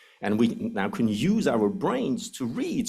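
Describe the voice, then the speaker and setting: Here a man talks at a medium pitch. His voice makes very wide pitch swings. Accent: Swiss. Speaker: anthropology professor. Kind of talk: lecture. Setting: lecture hall with audience.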